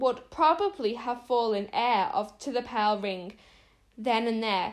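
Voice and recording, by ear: Someone reads aloud in a natural voice. Ordinary pitch variation runs through it.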